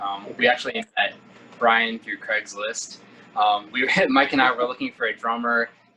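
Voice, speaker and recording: A man's medium-pitched voice with fairly even intonation at a moderate pace, against noticeable background noise. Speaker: singer and bassist in a rock band. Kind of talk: casual interview.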